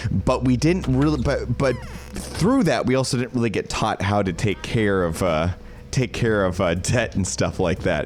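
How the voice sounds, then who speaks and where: A man's lively intonation at a moderate pace, with noticeable background noise. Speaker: streamer. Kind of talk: casual live-stream chat. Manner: slurred; halting.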